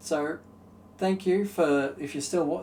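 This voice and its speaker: This man's voice sits fairly high in pitch. He talks at a fairly slow pace. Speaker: video game youtuber. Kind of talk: solo commentary ranking video games. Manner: halting, many fillers.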